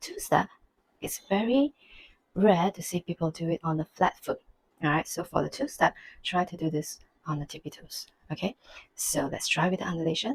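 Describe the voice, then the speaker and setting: A woman whispers, soft-spoken and somewhat breathy, at a fairly quick pace. The sound is dry and close, with no echo. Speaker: belly dance teacher. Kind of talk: dance tutorial instruction. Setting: home. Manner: soft, almost whispering.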